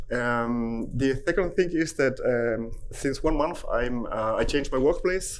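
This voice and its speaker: Audible room echo follows a man with an Italian accent as he talks at a moderate pace. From Italy. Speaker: hospital IT department head. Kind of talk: conference talk. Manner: halting.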